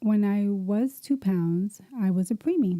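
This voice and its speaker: A woman with an American accent sounds somewhat breathy, with a dark, mellow tone. The sound is dry and close, with no echo. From US Northeast, Camden, New Jersey. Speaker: podcast host. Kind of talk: personal life story, testimony. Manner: casual, conversational.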